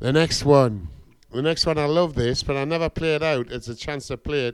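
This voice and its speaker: Recorded very cleanly against a silent background, a man with an unremarkable speaking voice talks at a medium pitch and moderate pace with ordinary pitch variation. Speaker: guest reggae/dub vinyl DJ. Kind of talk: radio DJ patter between vinyl tunes. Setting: radio studio. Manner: laid-back, warm, upbeat with Jamaican-style greetings ('bless', 'pure love').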